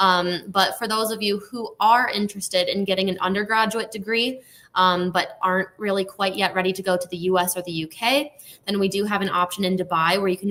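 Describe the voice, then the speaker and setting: Speaking with an American accent at a fairly quick pace, a woman uses a medium pitch and fairly even intonation in a bright, sharp tone. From United States. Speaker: university recruitment manager. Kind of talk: live webinar presentation. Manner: casual, many filler ums.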